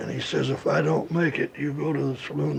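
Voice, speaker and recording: Noticeable background noise accompanies a voice with an American accent at a moderate pace. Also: man. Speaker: gun writer recounting childhood memory. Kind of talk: oral history anecdote, storytelling interview. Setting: archival recording.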